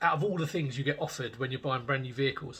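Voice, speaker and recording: A man talks with a British accent at a fairly high pitch. His tone is bright and sharp. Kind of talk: casual talk to camera. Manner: hesitant, many filler words.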